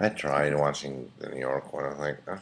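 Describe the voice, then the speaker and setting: A man is speaking. His voice is quiet. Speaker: vlogger. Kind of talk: casual webcam rant. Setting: at home at night, webcam. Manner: quiet, hushed; halting, many fillers.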